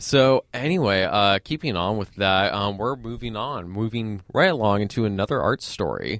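Delivered in a plain, everyday voice at a moderate pace with hardly any pauses and ordinary pitch variation, the speech has a dry, close sound with no echo on a very clean recording with a silent background. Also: man, fairly low pitch for a man. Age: 20s. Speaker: student radio host. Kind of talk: casual chat. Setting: studio.

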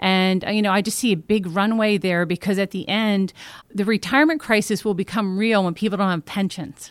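In a very clean recording with a silent background, a woman has a plain, everyday voice at a medium pitch, ordinary pitch variation and a fairly quick pace. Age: 50s. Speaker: company CEO. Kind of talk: interview. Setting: company office.

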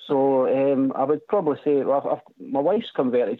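With a Scottish accent, a man talks at a fairly high pitch and a moderate pace, his intonation lively. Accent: Scottish lilt. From Scotland, West Lothian near Edinburgh. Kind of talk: casual chat. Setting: phone call.

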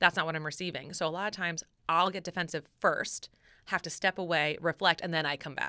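In a dry, close sound with no echo, a woman talks loud and at a fairly quick pace, her fairly low-pitched voice bright and sharp. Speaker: podcast host. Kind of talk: casual chat. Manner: animated.

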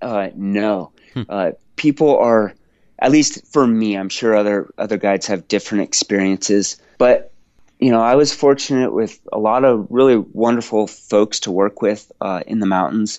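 A man at a moderate pace. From US Pacific Northwest (Washington State). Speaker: adventure photographer and former mountain guide. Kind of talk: podcast interview. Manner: halting.

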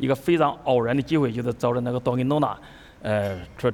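This man speaks at a medium pitch with a Chinese accent. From Hubei, China. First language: Mandarin Chinese. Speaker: chef. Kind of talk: onstage interview through interpreter. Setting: stage with audience.

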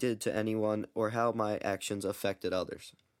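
A man uses a normal speaking voice at a medium pitch and a moderate pace. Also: very clean recording, silent background. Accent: American. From US Mid-Atlantic, Baltimore. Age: young. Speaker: student podcaster. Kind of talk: religious testimony monologue.

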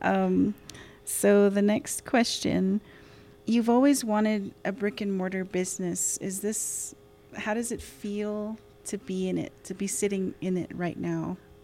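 With music in the background, a woman at a medium pitch speaks at a fairly slow pace with fairly even intonation. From Crownpoint, New Mexico, Navajo Nation. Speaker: economist and interviewer. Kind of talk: interview. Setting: in the restaurant.

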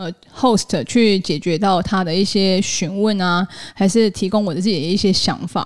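Intonation from this woman stays fairly even. She keeps a medium pitch and a moderate pace. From Taiwan. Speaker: podcast host. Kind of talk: solo podcast monologue. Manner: casual, with filler sounds.

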